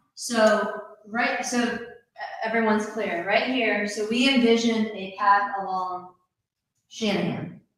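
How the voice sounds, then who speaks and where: Audible room echo surrounds a woman with a fairly high pitch and fairly even intonation. She speaks fairly slowly, with long, frequent pauses. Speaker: township trustee. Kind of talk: public meeting discussion. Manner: loud.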